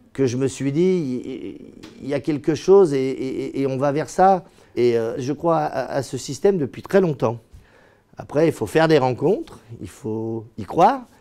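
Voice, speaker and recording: Speaking at a fairly slow pace, a man uses fairly high pitch and lively intonation. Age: 50s. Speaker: property developer and company founder. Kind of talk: corporate interview monologue. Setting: company office. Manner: hesitant, many fillers and repetitions.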